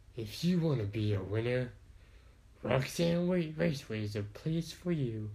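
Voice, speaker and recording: At a moderate pace, a man does a put-on character voice at medium pitch, with audible echo. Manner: put-on impersonation.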